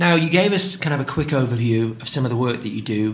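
Over noticeable background noise, a man with an English accent talks at a very fast pace, his medium-pitched voice making very wide pitch swings. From England. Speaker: podcast host, father of diabetic child. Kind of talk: interview.

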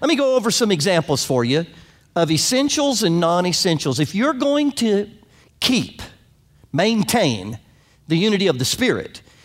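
On a very clean recording with a silent background, the words come at a moderate pace. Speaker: pastor. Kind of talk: sermon. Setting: church.

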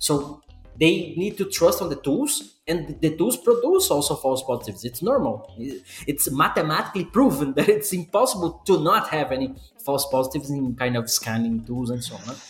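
A man with a Portuguese accent, fairly high-pitched, very wide pitch swings, moderate pace, noticeable background noise. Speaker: podcast host. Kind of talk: casual chat.

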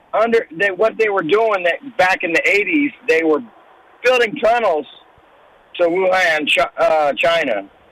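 The speaker goes at a fairly slow pace with lively intonation over noticeable background noise. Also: man. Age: 60s. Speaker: caller. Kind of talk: call-in conversation.

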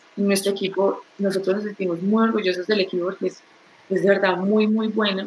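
There is noticeable background noise as a woman speaks at a fairly quick pace. Her medium-pitched voice has a monotone, flat intonation. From Colombia, Pereira. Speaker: tech startup co-founder. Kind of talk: interview.

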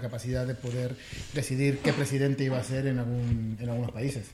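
With an Argentine accent, a man speaks very fast in a monotone, flat delivery. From Argentina, Buenos Aires. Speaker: software developer. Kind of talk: casual chat.

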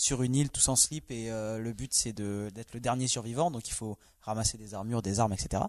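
A man talks at a moderate pace against a quiet background. He has a medium-pitched voice and an ordinary speaking voice. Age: 20s. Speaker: logistics worker, video game guest. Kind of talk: casual chat.

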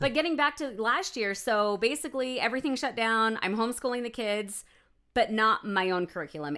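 A woman's medium-pitched voice with very wide pitch swings, a bright, sharp tone and a fairly quick pace, on a very clean recording with a silent background. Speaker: podcast co-host. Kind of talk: casual chat.

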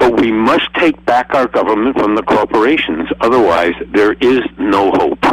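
A passionate delivery with hardly any pauses, very even loudness, and noticeable background noise. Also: man, medium pitch for a man, ordinary pitch variation, moderate pace. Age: 80s+. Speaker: alternative health advocate and film producer. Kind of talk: panel discussion. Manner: passionate, forceful.

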